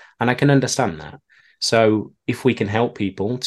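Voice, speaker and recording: A man with a British accent and a fairly low pitch speaks over a quiet background. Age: 30s. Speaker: email marketer and keynote speaker. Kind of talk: interview.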